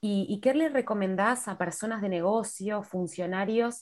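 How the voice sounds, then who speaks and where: Speaking at a fairly slow pace, a woman has an ordinary speaking voice. Her pitch is medium, with ordinary pitch variation. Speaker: podcast host. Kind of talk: interview.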